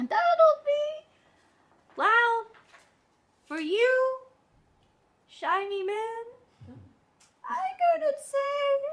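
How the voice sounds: In a put-on character voice, a woman speaks very slowly at an extremely high pitch, her pitch swinging very widely.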